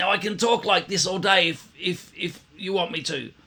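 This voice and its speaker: A man's strained, raised and projected put-on character voice, high-pitched, at a moderate pace. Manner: demonstrating bad technique.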